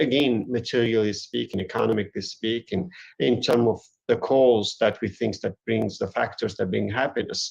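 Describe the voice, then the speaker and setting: Here a man speaks with a Turkish accent. He keeps a moderate pace. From Eastern Turkey. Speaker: academic author. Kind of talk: lecture. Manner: halting.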